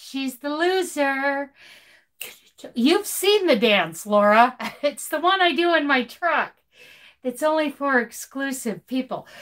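A woman speaks at a very slow pace with long, frequent pauses. Her high pitch swings very widely over a quiet background. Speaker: crochet YouTuber and truck driver; crochet YouTuber. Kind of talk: live stream chat. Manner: animated. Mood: cheerful, laughing. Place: home room. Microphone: phone near.

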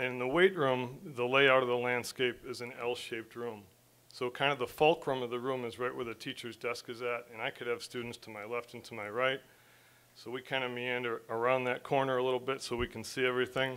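A man's medium-pitched voice in a bright, sharp tone, monotone and flat in intonation, with big swings in loudness. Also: fairly quick pace. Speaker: teacher presenting a student award. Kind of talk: casual tribute speech. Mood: warm, praising. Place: classroom. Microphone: podium.

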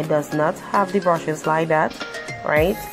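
With music in the background, a woman talks at a moderate pace, her pitch varying in an ordinary way. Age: 30s. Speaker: makeup youtuber. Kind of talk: casual talk to camera.

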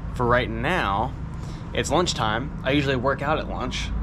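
Through noticeable background noise, a man talks at a moderate pace. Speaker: mountain bike rider vlogger. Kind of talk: casual vlog chat. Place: street. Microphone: phone near.

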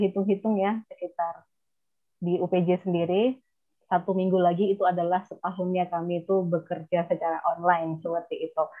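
A woman's moderately paced speech comes through over a quiet background. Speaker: architecture lecturer, moderator. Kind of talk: seminar moderation. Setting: video call. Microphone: earbuds.

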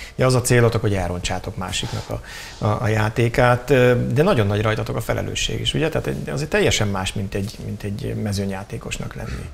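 A man speaks at a very fast pace while light background noise runs underneath. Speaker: TV show host. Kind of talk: interview. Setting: studio. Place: studio. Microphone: lapel.

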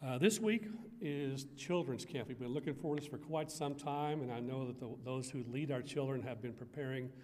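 The man's pitch shows ordinary variation. He keeps a moderate pace. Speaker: church minister giving announcements. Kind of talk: church announcements. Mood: warm, friendly. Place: church. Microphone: podium.

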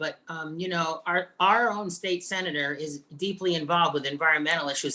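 A man's bright, sharp voice at a fairly high pitch, with fairly even intonation and a moderate pace

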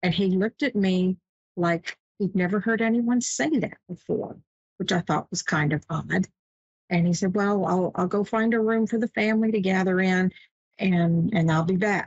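In a dry sound with no echo and a quiet background, a woman speaks at a moderate pace, somewhat breathy, with very even loudness and ordinary pitch variation. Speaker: show host. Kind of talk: personal story on live show. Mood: calm, warm, reflective. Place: home room. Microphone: webcam.

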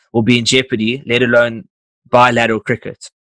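The sound is dry with no echo. The background stays quiet. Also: man. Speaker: podcast host. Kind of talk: casual interview chat. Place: home room. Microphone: studio mic.

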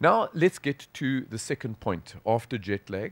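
A man with a South African accent, lively intonation, a moderate pace and a dry sound with no echo. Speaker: sports physician, professor; professor. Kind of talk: conference lecture. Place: hall.

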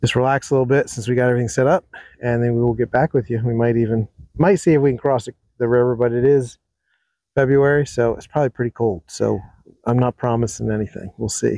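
A man talks at a very fast pace with a dark, mellow tone and fairly even intonation. The sound is dry with no echo over a quiet background. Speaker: overlanding vlogger. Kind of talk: casual vlog chat. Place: forest. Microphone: phone near.

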